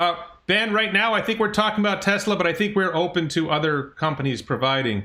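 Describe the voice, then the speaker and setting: A man with a bright, sharp, high-pitched voice speaks at a fairly quick pace and very even loudness. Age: 50s. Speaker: stock channel host. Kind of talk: interview. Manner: fast.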